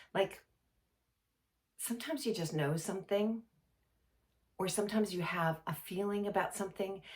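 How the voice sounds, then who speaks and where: Her intonation is lively and her voice somewhat breathy. This woman keeps a moderate pace. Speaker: intuition coach. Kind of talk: casual talk to camera. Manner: hesitant, many fillers.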